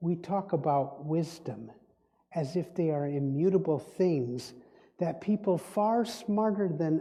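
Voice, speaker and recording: At a very slow pace, a man talks with a fairly high pitch, a dark, mellow tone, and ordinary pitch variation. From Indonesia, Dutch-speaking family. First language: Dutch. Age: old. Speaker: spiritual speaker and diviner. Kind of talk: sermon.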